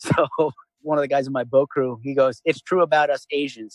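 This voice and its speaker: With a New York accent, a man talks at a fairly quick pace and fairly high pitch with fairly even intonation. His loudness swings widely, and the sound is dry and close with no echo. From Long Island, New York. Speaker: former Navy SEAL, veteran. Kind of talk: interview answer. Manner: casual, conversational.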